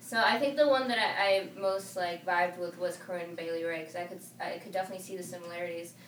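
A woman with a Spanish accent talks very fast with hardly any pauses, her fairly low pitch showing ordinary variation and her loudness swinging widely over noticeable background noise. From California and Arizona, US. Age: 20s. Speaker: singer and artist. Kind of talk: casual interview chat.

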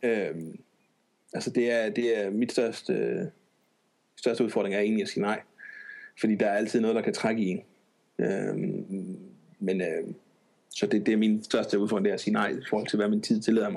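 A man is speaking at a moderate pace. He leaves long, frequent pauses. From Denmark, Odense. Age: 30s. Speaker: programmer. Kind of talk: casual chat.

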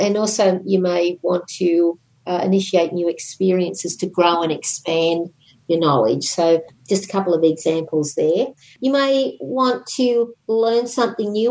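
A woman speaks in a normal speaking voice at a medium pitch. Her pace is fairly slow and her intonation lively. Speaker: podcast co-host, astrology commentator.

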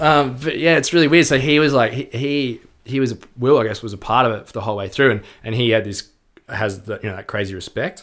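Speaking fairly quickly with an Australian accent, a man uses a medium pitch and ordinary pitch variation on a very clean recording with a silent background. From Melbourne, Australia. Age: 30s. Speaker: rock musician. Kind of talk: casual chat. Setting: at the host's home.

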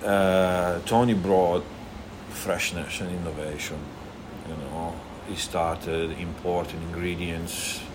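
A man with an Italian accent speaks very slowly at a very deep, low pitch. Noticeable background noise and audible room echo are in the recording. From Italy, Emilia-Romagna. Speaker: restaurant owner. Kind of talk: casual chat. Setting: restaurant.

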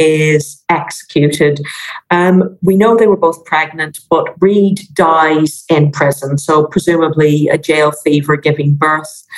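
A woman speaks with an Irish accent at a fairly slow pace. Her pitch is very deep and low. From Ireland. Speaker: maritime history professor. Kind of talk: casual interview chat.

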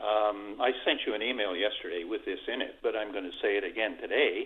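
A man with a Newfoundland accent talks at a moderate pace. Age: 80s+. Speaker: caller. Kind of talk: call-in talk. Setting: phone call. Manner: halting.

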